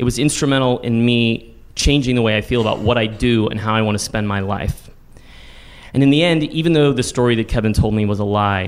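A man with a plain, everyday voice talks fairly quickly in an American accent. His medium pitch varies in an ordinary way. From Texas, San Antonio. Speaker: storytelling teacher and solo performer. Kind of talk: personal storytelling on stage. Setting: stage with audience.

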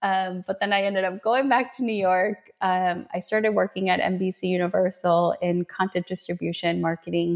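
A woman speaks in a normal speaking voice at medium pitch and a moderate pace, with hardly any pauses. Her loudness stays very even and her intonation fairly even. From Colombia, raised in Minnesota from age seven. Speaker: energy healer. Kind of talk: casual interview chat.

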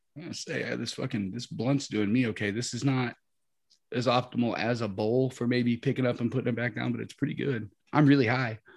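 With an American accent, a man of medium pitch talks at a fairly quick pace with vocal fry. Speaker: cannabis podcast co-host. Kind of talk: casual chat.

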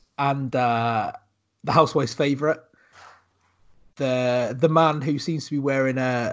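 The speaker has a West Country accent and keeps a moderate pace. The intonation stays fairly even. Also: man.

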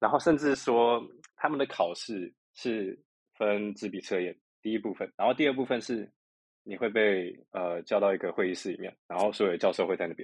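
A man with an unremarkable speaking voice, medium pitch, ordinary pitch variation and a moderate pace, against a quiet background. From Taiwan. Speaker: doctoral student. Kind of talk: interview.

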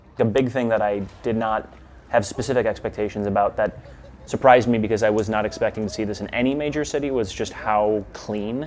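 With an American accent, a man talks at a fairly quick pace, his medium pitch showing ordinary variation. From Milwaukee, US Midwest. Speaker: expat spouse. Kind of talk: casual interview.

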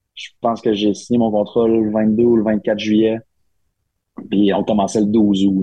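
A man speaks at a fairly slow pace. His voice sits fairly low. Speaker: hockey assistant coach. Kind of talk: casual chat.

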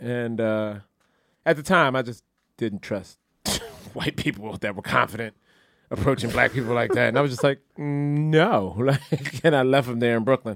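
An animated man with an American accent speaks at medium pitch with ordinary pitch variation. Long pauses come often, and the sound is dry and close with no echo. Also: moderate pace. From Philadelphia. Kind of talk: casual comedic banter. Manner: animated, joking.

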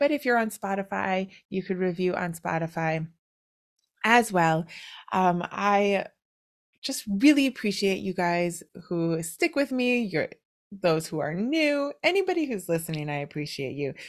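Speaking fairly slowly, a woman lets her pitch swing very widely. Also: medium pitch for a woman. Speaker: podcast host and writing coach. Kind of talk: casual interview chat. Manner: chatty, laughs often.

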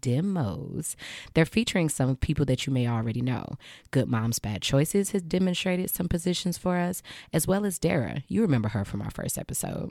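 A woman speaks at a fairly quick pace in a very deep, low voice with vocal fry and very wide pitch swings, on a very clean recording with a silent background. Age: 30s. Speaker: podcast host and sex educator. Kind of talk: scripted ad read.

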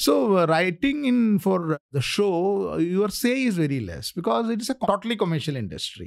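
A man with a Keralan accent speaks at a high pitch with very wide pitch swings, at a moderate pace with hardly any pauses. The recording is very clean, with a silent background. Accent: Indian English, Malayali. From India, Kerala. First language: Malayalam. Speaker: author and scriptwriter. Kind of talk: casual interview. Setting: studio.

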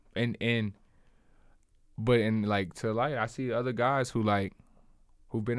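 In an ordinary speaking voice, a man talks at a moderate pace and medium pitch with fairly even intonation. The recording is very clean, with a silent background. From US South, South Carolina (Columbia). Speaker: professional basketball player. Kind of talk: casual interview. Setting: studio.

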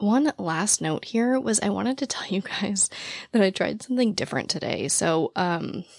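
A woman talks at a moderate pace and medium pitch, her intonation lively. Her voice is raspy with vocal fry, and the sound is dry and close with no echo.

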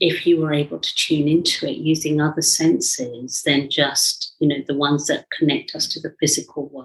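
Speaking at a moderate pace with hardly any pauses, a woman with a British accent uses a very deep, low pitch and monotone, flat intonation. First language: Indian language. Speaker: psychologist and mentor. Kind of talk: interview conversation.

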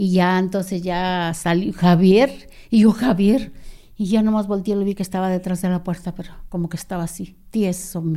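Recorded very cleanly against a silent background, a woman of medium pitch uses a dark, mellow tone and fairly even intonation at a moderate pace. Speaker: sister of former guerrilla. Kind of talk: interview testimony.

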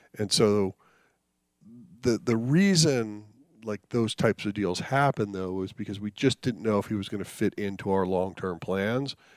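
A plain, everyday voice: a man with an American accent, fairly low pitch and ordinary pitch variation at a moderate pace, in a very clean recording with a silent background and a dry, close sound with no echo. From US, New Jersey then Colorado. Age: 50s. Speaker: baseball executive. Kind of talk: interview.

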